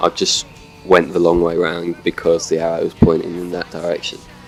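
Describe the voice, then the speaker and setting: Over music in the background, the speech runs at a fairly quick pace. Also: man. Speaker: gaming video commentator. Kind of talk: gameplay commentary. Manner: casual, hesitant.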